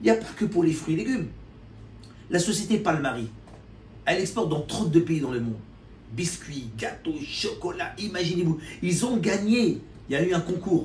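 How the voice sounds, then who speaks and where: Amid audible room echo, a man speaks in an animated tone at a high pitch. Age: 50s. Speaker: importer and promoter of Algerian products. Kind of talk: casual talk to camera.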